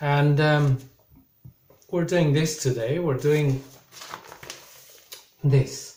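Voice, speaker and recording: A man's voice has a dark, mellow tone, is somewhat breathy, and keeps fairly even intonation. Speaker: English teacher. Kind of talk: recorded online lesson.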